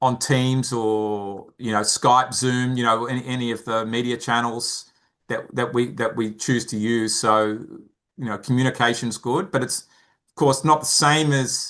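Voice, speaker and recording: With an Australian accent, a man talks at a fairly slow pace in a medium pitch, his intonation fairly even but his loudness swinging widely. The background is quiet. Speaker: founder of a mentoring charity. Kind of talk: interview. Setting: podcast interview. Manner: halting, many repeated words.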